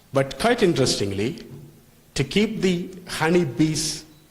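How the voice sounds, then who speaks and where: A non-native accent comes through at a fairly slow pace with lively intonation. Audible room echo surrounds the voice. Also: man. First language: not English. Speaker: lecturer on food safety. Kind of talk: lecture. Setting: hotel hall with live audience. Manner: halting.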